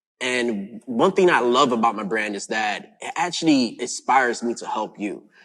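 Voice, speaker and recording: With an American accent and an unremarkable speaking voice, a man talks at a medium pitch and moderate pace, hardly pausing, his loudness swinging widely and his intonation lively. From Brooklyn, New York. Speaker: forex trading mentor. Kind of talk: self-introduction.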